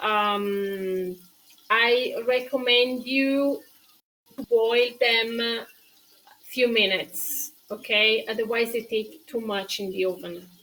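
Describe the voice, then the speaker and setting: Woman with a Tuscan accent, fairly high pitch, fairly even intonation and a very slow pace. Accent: Italian-accented English with Tuscan features. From Tuscany, Italy. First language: Italian. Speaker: cooking show host. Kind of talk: live-stream cooking tutorial with viewer chat. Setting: live stream. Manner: halting, with many fillers.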